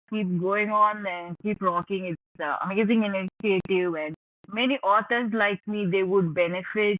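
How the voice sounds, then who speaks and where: With a Tamil accent, a woman speaks at a moderate pace and medium pitch with fairly even intonation. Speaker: author. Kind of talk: podcast interview. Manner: calm.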